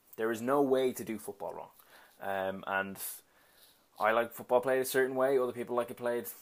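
In a Dublin accent, a man speaks at a moderate pace with fairly even intonation, recorded very cleanly against a silent background. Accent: Dublin Irish. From Dublin, Ireland. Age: 20s. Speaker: podcast host and football coach. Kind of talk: solo podcast monologue.

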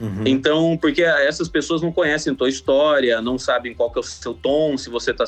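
Here a man speaks at a fairly quick pace. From Mato Grosso, Brazil (Sinop). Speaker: comedian and video editor. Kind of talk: casual phone interview. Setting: phone call.

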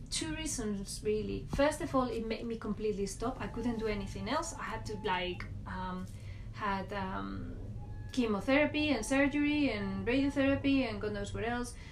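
Over noticeable background noise, a woman speaks at a moderate pace with a Spanish accent. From Spain, Valladolid. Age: 40s. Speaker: podcast guest sharing her life story. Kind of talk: personal testimony. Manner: laughs often.

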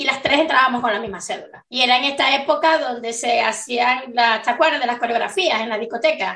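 A high-pitched woman talks with hardly any pauses and ordinary pitch variation. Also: fairly quick pace. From Venezuelan Andes. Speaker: podcast co-host. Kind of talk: casual chat.

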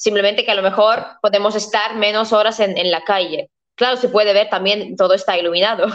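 A woman with a Latvian accent speaks fairly quickly at a medium pitch, her intonation monotone and flat. Her loudness stays very even. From Latvia, Riga. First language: Latvian (speaking Spanish). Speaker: historian and tour agency owner. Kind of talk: interview.

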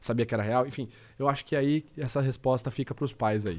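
A man's medium-pitched voice, with ordinary pitch variation, comes through on a very clean recording with a silent background. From interior of São Paulo state, Brazil (Rio Claro). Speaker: body language and lie detection analyst. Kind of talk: casual podcast interview.

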